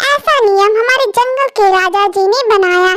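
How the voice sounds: A woman uses a cartoonish character voice at an extremely high pitch. She talks at a fairly slow pace.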